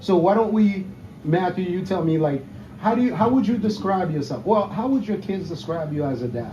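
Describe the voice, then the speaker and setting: A high-pitched man's voice, fairly quick and with lively intonation, in audible room echo. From Haiti. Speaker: golf podcast host. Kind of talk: casual interview. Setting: outdoor patio at a country club.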